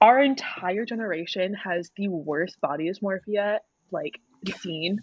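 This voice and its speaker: At a fairly slow pace, a woman speaks in a plain, everyday voice at a medium pitch with ordinary pitch variation, and the sound is dry and close with no echo. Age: 20s. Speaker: podcast co-host. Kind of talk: casual chat.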